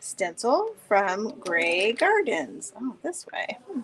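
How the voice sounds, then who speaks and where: A woman speaks quietly at a very slow pace. Noticeable background noise sits behind her. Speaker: craft painting video host. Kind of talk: live painting tutorial. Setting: art studio with gallery open. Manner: animated.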